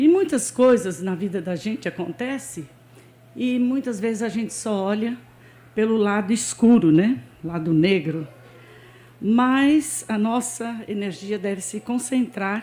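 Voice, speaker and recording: The voice is somewhat breathy, with a dark, mellow tone, lively intonation and a fairly slow pace. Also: woman, fairly high pitch for a woman. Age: 70s. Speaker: church member. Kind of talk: testimony. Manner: informal, with frequent fillers.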